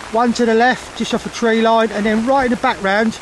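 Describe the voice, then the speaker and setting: A man shouts loudly in a high voice with an excited tone. Background noise is noticeable. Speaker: carp angler vlogger. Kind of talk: casual vlog. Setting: outdoors by a lake. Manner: loud, shouting over storm; excited, rapid.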